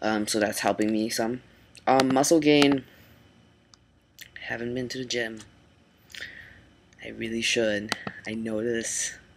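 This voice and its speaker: Noticeable background noise sits behind a man who speaks at a fairly slow pace with fairly even intonation and long, frequent pauses. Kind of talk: casual vlog. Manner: halting, many ums.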